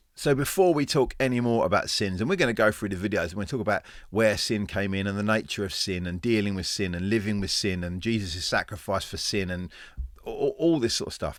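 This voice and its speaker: This man speaks with an English accent. His intonation is lively. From England. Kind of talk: informal teaching talk. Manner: halting, with repetitions.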